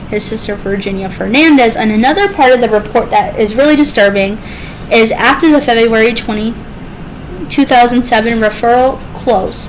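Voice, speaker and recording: Fairly high-pitched female voice with fairly even intonation over noticeable background noise. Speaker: true crime YouTuber. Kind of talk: true crime narration to camera. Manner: stuttering.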